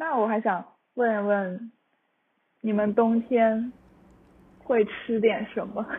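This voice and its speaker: Speaking very slowly with long, frequent pauses, a woman uses a fairly high pitch. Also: fairly even intonation. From Changzhou, Jiangsu, eastern China. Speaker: guest. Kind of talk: casual chat. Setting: remote recording.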